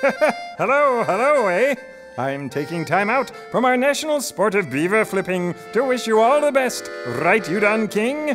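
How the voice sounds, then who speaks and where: A man with a high pitch at a fairly slow pace, clear music in the background. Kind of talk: comic overacting.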